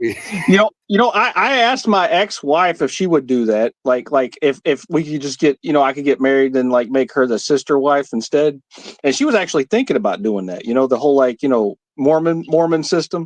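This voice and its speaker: An unremarkable speaking voice, this man's is fairly high-pitched, with an American accent and lively intonation, barely pausing, in a dry, close sound with no echo. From United States. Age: 40s. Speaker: livestream panel guest. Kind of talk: casual chat.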